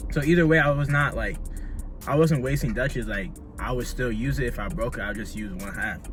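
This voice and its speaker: A man with music in the background and audible room echo. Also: fairly quick pace. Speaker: YouTuber. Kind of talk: casual vlog chat while smoking. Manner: fast talker normally.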